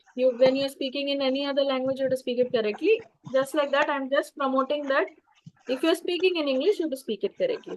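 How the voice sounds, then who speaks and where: A woman with an Indian accent speaks at a very fast pace. Her pitch is high, with ordinary variation. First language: Tamil. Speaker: English and public speaking teacher. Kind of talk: webinar talk with Q&A. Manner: halting with fillers.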